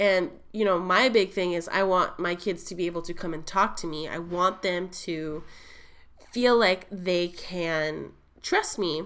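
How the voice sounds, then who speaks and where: Her pitch is fairly low for a woman. She keeps a fairly slow pace and fairly even intonation. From Florida. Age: 20s. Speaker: lifestyle blogger and podcaster. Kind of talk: solo podcast monologue. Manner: casual, filler-heavy.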